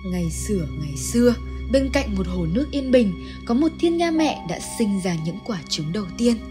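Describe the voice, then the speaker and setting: A woman talks at a moderate pace. Behind her, music is playing. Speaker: narrator. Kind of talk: game lore analysis narration.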